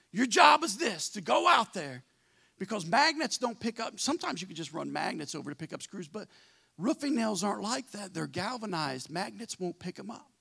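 A man uses a raised, projected voice with a bright, sharp tone. The background is quiet. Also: big swings in loudness. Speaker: pastor. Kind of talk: sermon. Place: church. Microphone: handheld.

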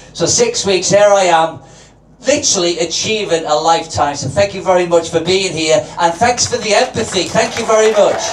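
With noticeable background noise and audible room echo, a man with a high pitch speaks at a fairly quick pace in a Liverpool accent, showing ordinary pitch variation. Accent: Scouse. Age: 60s. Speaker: amateur comedian. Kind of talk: stand-up. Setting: stage with audience.

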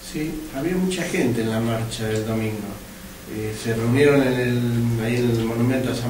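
At a fairly quick pace, a man with a slightly mellow tone and medium pitch speaks amid audible room echo.

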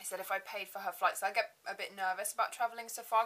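In an English accent, a woman speaks very fast at a medium pitch, her intonation monotone and flat. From England. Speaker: beauty vlogger. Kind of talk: casual chat. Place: home room. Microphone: webcam.

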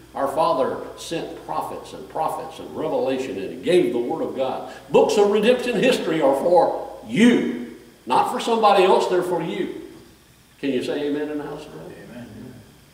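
Amid audible room echo, a man talks at a moderate pace with big swings in loudness. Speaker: preacher. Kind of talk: sermon. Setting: church with congregation. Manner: animated, exhorting the congregation with call-and-response, raised voice; fervent, repetitive, direct. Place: church. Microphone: camera far.

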